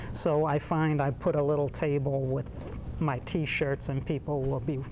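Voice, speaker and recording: A man with a Bronx accent speaks at a fairly slow pace and a fairly high pitch, in a monotone, flat intonation at very even loudness. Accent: Bronx New York accent, noticeable. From New York City, the Bronx. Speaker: painter, artist. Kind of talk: interview.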